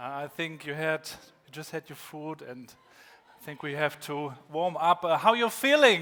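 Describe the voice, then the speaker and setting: A man's fairly high voice with a German accent, ordinary pitch variation and a fairly slow pace. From northern Germany, Rostock. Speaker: keynote speaker, former rapper. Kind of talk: keynote talk. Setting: conference stage with audience.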